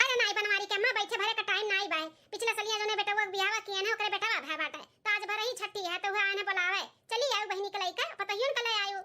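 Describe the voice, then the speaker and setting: A woman's squeaky, put-on character voice at an extremely high pitch, very fast, with fairly even intonation. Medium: comedy sketch.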